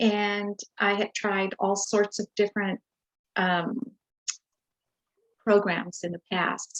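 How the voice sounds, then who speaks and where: A woman of medium pitch speaks very slowly in a flat monotone, leaving long, frequent pauses, with a dry, close sound and no echo. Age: 60s. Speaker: retired nurse, program client. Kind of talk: interview testimony. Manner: hesitant, many fillers.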